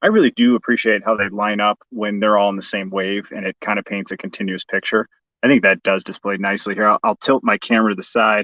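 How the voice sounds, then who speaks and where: Here a man talks at a very fast pace with hardly any pauses, in a slight Chicago accent. His fairly low voice has a bright, sharp tone, and the sound is dry and close with no echo. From US Midwest, Chicago. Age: 40s. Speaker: toy collector youtuber. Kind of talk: livestream unboxing. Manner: enthusiastic.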